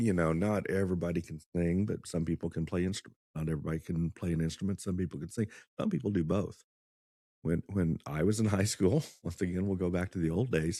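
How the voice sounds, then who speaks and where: A dark, mellow tone with a Midwestern American accent, fairly quick in pace and fairly even in intonation. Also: man, very deep, low pitch for a man. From Kansas, US. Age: 50s. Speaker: music teacher, former attorney. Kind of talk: casual podcast chat.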